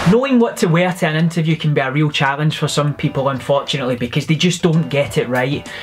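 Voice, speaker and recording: Over faint background music, a man with a fairly high pitch speaks at a very fast pace with ordinary pitch variation and hardly any pauses. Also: very even loudness. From Scotland (Glasgow). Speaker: recruiter and vlogger. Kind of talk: casual talk to camera, advice vlog. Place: office. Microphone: phone near.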